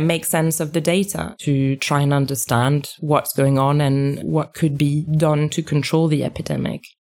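A woman with a French accent speaks at a fairly slow pace. Her pitch is very deep and low, and her intonation is fairly even. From France. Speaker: epidemiologist. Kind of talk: interview.

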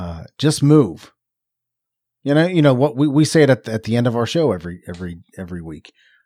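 A man with a Philadelphia accent talks at a fairly quick pace, with a medium pitch and a dark, mellow tone. His pitch swings very widely, and the recording is very clean with a silent background. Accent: sounds like from Philadelphia. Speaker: podcast co-host. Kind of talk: casual chat.

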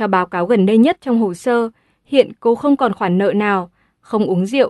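A woman speaks at a moderate pace in a fairly high pitch with ordinary pitch variation, an unremarkable speaking voice. The sound is dry and close with no echo, over a quiet background. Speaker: audiobook narrator. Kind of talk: audiobook reading.

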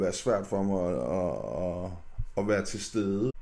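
Amid audible room echo, a man speaks with a dark, mellow tone. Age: 30s. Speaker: podcast guest. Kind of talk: casual chat. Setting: studio. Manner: halting, many fillers.

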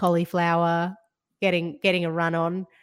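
A woman's fairly low-pitched voice, in a very clean recording with a silent background. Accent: Australian. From Georgia (former Soviet Union), later Australia. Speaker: food writer and broadcaster. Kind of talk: casual interview.

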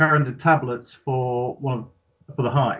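Somewhat breathy, the man keeps his intonation fairly even. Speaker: gaming community admin. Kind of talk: casual chat.

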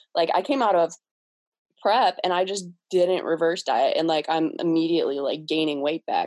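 A woman with a Midwestern US accent speaks at a fairly low pitch. Her pace is moderate, and her pitch varies in an ordinary way. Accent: US Midwest. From Cleveland, Ohio. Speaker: bodybuilder. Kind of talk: casual chat.

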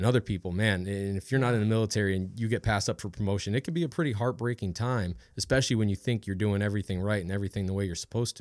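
A man with an American accent talks very fast in a fairly low voice with ordinary pitch variation, on a very clean recording with a silent background. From Ohio, Cleveland area. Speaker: Army soldier. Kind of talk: casual chat.

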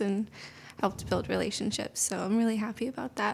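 A soft-spoken woman talks at a fairly quick pace. Her intonation is monotone and flat. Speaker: intern and education teacher. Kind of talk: interview, casual conversational.

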